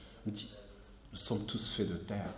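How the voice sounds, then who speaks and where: A man speaks fairly slowly, his voice carrying audible room echo and noticeable background noise. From southern Morocco, Akka oasis near Algerian border. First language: Amazigh (Berber) (speaking French). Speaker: artist. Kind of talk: lecture. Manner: halting, frequent repetitions.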